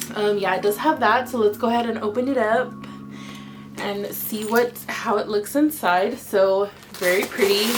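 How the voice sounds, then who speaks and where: A soft-spoken woman at a medium pitch and moderate pace, with ordinary pitch variation, long, frequent pauses, and noticeable background noise. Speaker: beauty vlogger. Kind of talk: casual product unboxing. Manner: quiet, soft-spoken; animated.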